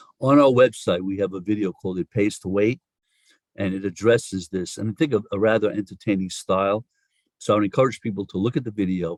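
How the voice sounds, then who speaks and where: A man's fairly low voice with a New York accent, very fast, with ordinary pitch variation and a dry, close sound free of echo. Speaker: social insurance policy expert. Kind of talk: podcast interview.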